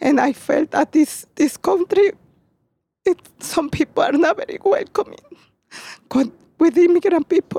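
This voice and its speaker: A woman speaks in a Mexican accent with an extremely high pitch, a dark, mellow tone and lively intonation. Her speech has long, frequent pauses, and the sound is dry and close with no echo. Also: moderate pace. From Mexico, Puebla. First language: Spanish. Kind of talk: interview on garden tour. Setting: outdoors.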